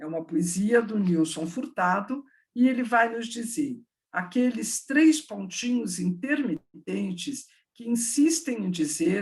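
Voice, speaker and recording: A woman speaks at a very slow pace in a somewhat breathy voice. Her fairly high pitch swings very widely. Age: 60s. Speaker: education professor. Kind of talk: online talk with Q&A.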